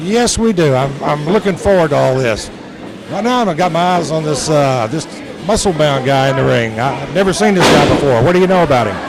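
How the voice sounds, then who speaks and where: Noticeable background noise sits behind a man with a fairly high pitch. He speaks at a fairly quick pace with lively intonation. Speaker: former pro wrestler, color commentator. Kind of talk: live wrestling color commentary.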